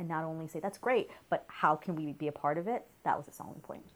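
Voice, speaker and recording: Talking at a very fast pace, a woman with an American accent has a very deep, low pitch. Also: very clean recording, silent background. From New York. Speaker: journalism professor. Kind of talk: interview. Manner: conversational with many fillers.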